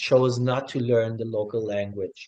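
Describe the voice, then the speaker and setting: The speaker talks at a fairly slow pace with a slight German accent. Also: man. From Germany (West Berlin), also raised in Tanzania. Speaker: hospitality worker, new citizen. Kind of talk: interview testimony.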